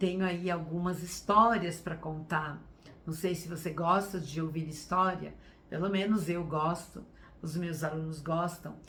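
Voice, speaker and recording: A woman's fairly low voice, bright and sharp in tone, flat and monotone, with audible room echo. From Brazil, São Paulo state (Sorocaba). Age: 60s. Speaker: teacher and workshop speaker. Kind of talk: online workshop talk. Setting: live stream.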